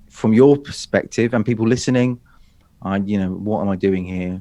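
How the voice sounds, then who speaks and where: A man speaks with a British accent at a fairly low pitch. His pitch varies in an ordinary way. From Great Britain. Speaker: public speaking coach. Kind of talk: interview. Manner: animated.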